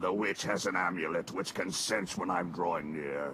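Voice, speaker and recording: Over clear background noise, a man uses a cartoonish character voice that is very deep and raspy, talking at a moderate pace. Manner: menacing, gruff.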